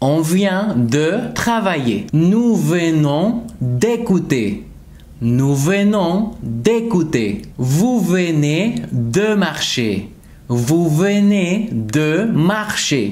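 A man talks at a very slow pace in a high voice with very wide pitch swings. His loudness stays very even. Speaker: French teacher. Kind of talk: tutorial. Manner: slow, repeated example sentences. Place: home room.

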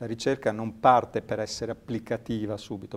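The speaker is a man. His pace is moderate. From Ravenna, Italy. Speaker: sports science researcher and lecturer. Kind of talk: interview. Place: studio. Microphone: lapel.

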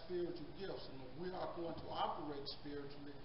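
With audible room echo and noticeable background noise, a man speaks at a moderate pace in a high voice with fairly even intonation. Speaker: Sunday school teacher. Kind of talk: sermon-like lesson. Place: church. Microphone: handheld.

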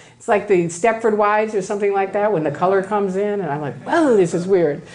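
With audible room echo, a woman with an American accent talks at a fairly quick pace in an animated tone with lively intonation. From US Midwest, Chicago. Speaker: former Scientologist, speaker. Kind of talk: lecture.

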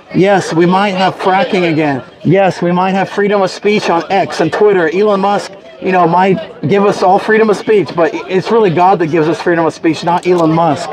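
A man speaks at a very even loudness. Crowd noise sounds in the background. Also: fairly even intonation, moderate pace. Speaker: street preacher. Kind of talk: street sermon. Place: street.

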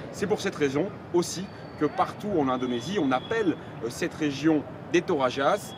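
With lively intonation and a fairly high pitch, a man speaks against noticeable background noise. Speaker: foreign correspondent; TV correspondent. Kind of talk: scripted narration. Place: open country. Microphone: lapel.

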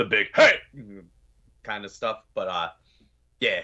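A man with an American accent at a moderate pace against a quiet background. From Pennsylvania, Scranton; Pennsylvania. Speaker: metal band vocalist; guest. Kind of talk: casual interview chat. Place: home room.

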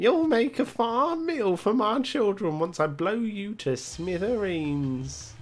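A put-on character voice of fairly high pitch, very wide pitch swings, a fairly slow pace and hardly any pauses, over light background noise. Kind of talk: comic villain voice acting. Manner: gloating, menacing.

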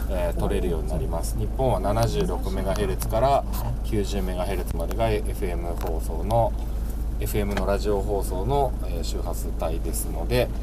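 Noticeable background noise fills the clip. Over it, a man talks at a fairly slow pace. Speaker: van owner reviewing a car stereo. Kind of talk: tutorial. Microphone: phone near.

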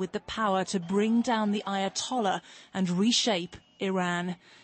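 A somewhat breathy woman's voice at a medium pitch, monotone and flat in intonation. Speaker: television news correspondent. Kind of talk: scripted broadcast news report voiced over footage. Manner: measured, dramatic newsreader cadence with punchy emphasis; formal, polished delivery of long flowing sentences.

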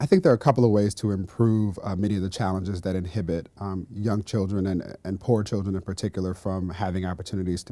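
In a very deep, low voice with a dark, mellow tone, a man with an American accent speaks at a very fast pace with hardly any pauses and fairly even intonation. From US West Coast, Los Angeles. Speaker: education policy official. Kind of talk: interview. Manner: halting, many fillers and repetitions. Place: studio. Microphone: lapel.

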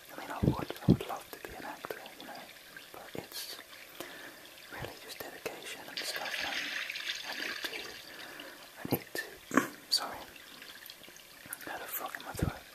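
A man talks at a moderate pace. His pauses are long and frequent. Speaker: whisper video maker. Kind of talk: whispered ASMR-style casual talk to camera. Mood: shy, reflective. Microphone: studio mic.

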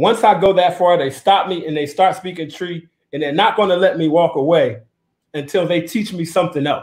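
A man's high-pitched voice with ordinary pitch variation, at a moderate pace against a quiet background. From United States. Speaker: tour company founder; guest. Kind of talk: live-streamed panel discussion. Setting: video call. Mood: relaxed, frank. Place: home room. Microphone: video call.

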